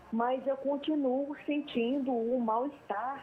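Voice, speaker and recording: A woman speaks at a very slow pace. Noticeable background noise runs beneath her voice. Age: 60s. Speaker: caller. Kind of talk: phone-in question. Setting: phone call.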